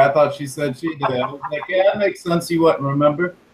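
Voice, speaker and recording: Noticeable background noise sits behind a man with a fairly high pitch. He speaks at a fairly quick pace with ordinary pitch variation. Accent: American. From Virginia, near Richmond. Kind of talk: live stream chat.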